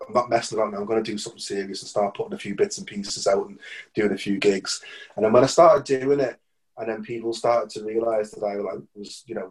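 A man with a Liverpool accent speaks at a very fast pace. His intonation is lively. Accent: Scouse. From Liverpool, England. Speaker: musician. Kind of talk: interview. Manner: halting, many false starts.

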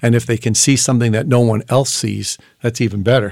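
A man talks at a moderate pace with fairly even intonation. It is a plain, everyday voice. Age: 60s. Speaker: entrepreneur and former pharmacist. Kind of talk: casual interview conversation.

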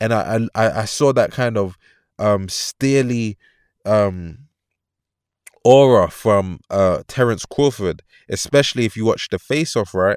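With a London accent, a man speaks fairly slowly at a medium pitch with ordinary pitch variation, in a very clean, dry, close recording with no echo and a silent background. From London, England. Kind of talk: solo commentary monologue. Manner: energetic, motivational.

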